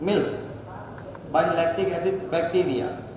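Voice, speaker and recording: A man talks at a moderate pace. Strong room echo and noticeable background noise fill the recording. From Sri Lanka. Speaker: student researcher. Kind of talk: presentation. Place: hall. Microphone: podium.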